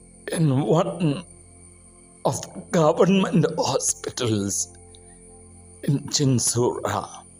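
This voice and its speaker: The speaker talks at a very slow pace with long, frequent pauses and lively intonation. Music plays in the background. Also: man, fairly high pitch for a man. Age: 60s. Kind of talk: personal faith testimony.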